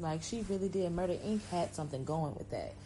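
Her voice is somewhat breathy with a dark, mellow tone. The woman speaks with lively intonation. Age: 20s. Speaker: podcast host. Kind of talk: solo podcast monologue.

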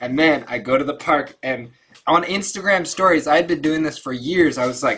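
With an ordinary speaking voice, a man talks at a fairly quick pace and fairly high pitch, with ordinary pitch variation. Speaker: participant. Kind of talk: casual group discussion. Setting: video call.

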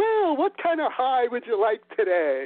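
A loud, put-on character voice at fairly high pitch, with very wide pitch swings and a moderate pace. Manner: loud, cheerful.

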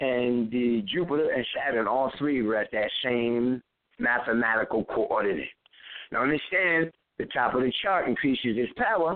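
A man speaks at a fairly slow pace. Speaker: astrologer. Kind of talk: lecture. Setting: phone call. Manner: quiet.

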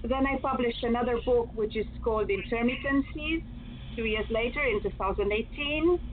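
A high-pitched woman in a Romanian accent, with ordinary pitch variation over noticeable background noise. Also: moderate pace. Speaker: poet and English teacher. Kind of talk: casual chat. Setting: video call.

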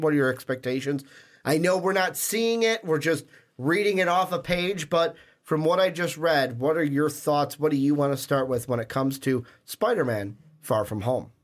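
A man with an ordinary speaking voice and fairly high pitch uses lively intonation at a moderate pace on a very clean recording with a silent background. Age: 20s. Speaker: podcast host. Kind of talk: casual chat; scripted outro.

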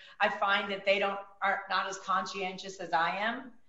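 With audible room echo and noticeable background noise, a woman speaks at a moderate pace and medium pitch. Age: 50s. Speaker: mortgage broker. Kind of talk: interview.

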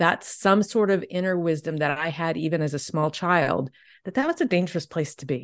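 Speaking at a fairly quick pace, a woman with an American accent has a fairly low pitch, ordinary pitch variation, and a plain, everyday voice. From US South. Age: 60s. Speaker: energy healer and novelist. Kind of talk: casual chat.

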